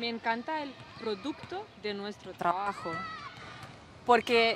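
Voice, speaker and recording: A woman speaks with a Serbian accent at a fairly high pitch. Noticeable background noise is present. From Serbia, Niš. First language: Serbian (speaking Spanish). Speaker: German teacher. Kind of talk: interview. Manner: halting, searching for words.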